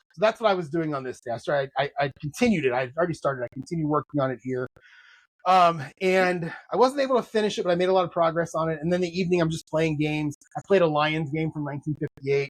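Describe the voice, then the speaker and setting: Speaking very fast, a man with a fairly high voice uses ordinary pitch variation in a dry, close recording with no echo. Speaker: podcast host and novelist. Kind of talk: casual chat. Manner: halting.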